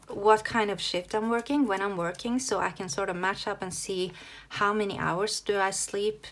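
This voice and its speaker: The speaker has a Norwegian accent and a moderate pace with ordinary pitch variation. The recording is very clean, with a silent background. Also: woman. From Norway. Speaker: planner hobby youtuber. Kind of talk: casual tutorial flip-through. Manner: halting, many fillers.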